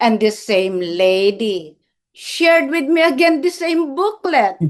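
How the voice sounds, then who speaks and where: A woman talks at a very slow pace with very wide pitch swings. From Philippines, Ilocos region. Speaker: retired nurse and missionary. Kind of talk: testimony. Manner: energetic.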